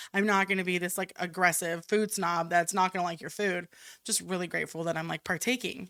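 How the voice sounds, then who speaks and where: A loud woman's voice, fairly low in pitch and bright and sharp in tone, at a fairly quick pace with fairly even intonation on a very clean recording with a silent background. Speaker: chef. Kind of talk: casual chat. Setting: studio.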